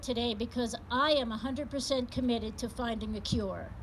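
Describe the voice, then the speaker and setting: A fairly quick pace in a woman's high voice, over noticeable background noise. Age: 60s. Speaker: patient advocate speaker. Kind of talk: public speech. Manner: animated.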